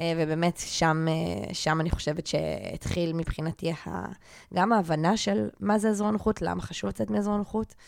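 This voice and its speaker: At a moderate pace, a woman with a fairly low pitch speaks with very wide pitch swings. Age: 30s. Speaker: life coach and podcast co-host. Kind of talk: casual chat; scripted introduction.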